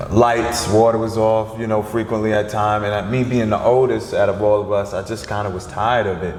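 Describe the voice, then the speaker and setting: Over music in the background and audible room echo, the speech moves at a fairly quick pace in a monotone, flat intonation with hardly any pauses. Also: man. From New York, Long Island, then Georgia. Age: 30s. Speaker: filmmaker and producer. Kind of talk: interview conversation. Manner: casual, hesitant with fillers.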